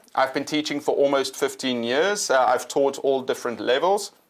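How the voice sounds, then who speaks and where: Pitch varies in an ordinary way. The background is quiet. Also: man. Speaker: ESL teacher trainer. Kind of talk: webinar presentation. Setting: live online stream.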